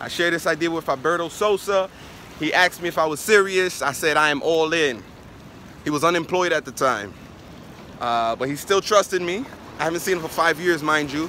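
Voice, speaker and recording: Animated and fairly quick, a man with a New York accent speaks in a high pitch with ordinary pitch variation and long, frequent pauses, with a dry sound and no echo over light background noise. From New York, Brooklyn. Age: 20s. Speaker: network marketer; motivational vlogger. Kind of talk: motivational vlog monologue. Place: beach. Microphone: phone near.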